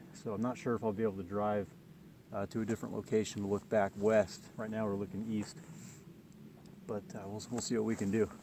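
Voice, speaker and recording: Fairly quick yet broken by long, frequent pauses, a man's fairly low, dark, mellow voice holds fairly even intonation. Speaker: landscape photographer. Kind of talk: vlog narration on location. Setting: outdoors. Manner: casual, with fillers.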